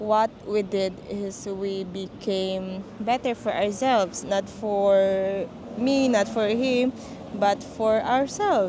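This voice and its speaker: In a Filipino accent, this dark, mellow voice moves at a very slow pace with fairly even intonation. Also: woman. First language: Tagalog. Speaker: vlogger. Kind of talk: casual chat. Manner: code-switching Taglish.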